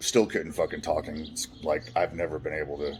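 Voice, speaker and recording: A man with an American accent, a very deep, low pitch and a resonant sound, at a very fast pace. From California. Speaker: trauma survivor telling life story. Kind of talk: personal testimony monologue. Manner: loud, poorly modulated volume; halting, many restarts.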